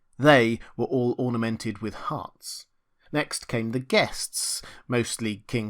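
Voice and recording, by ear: Pitch variation is ordinary. The delivery is reading aloud in a natural voice.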